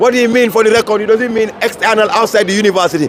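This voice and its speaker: A man shouts in an angry tone at an extremely high pitch. Crowd noise fills the background. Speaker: student union leader. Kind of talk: press interview. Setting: outdoors at protest. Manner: forceful, can sound angry.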